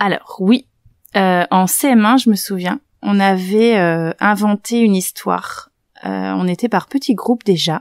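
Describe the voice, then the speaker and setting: A woman's calm, medium-pitched voice at a very slow pace, with ordinary pitch variation, in a very clean recording with a silent background and a dry, close sound with no echo. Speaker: primary school teacher. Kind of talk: interview. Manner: hesitant, many fillers.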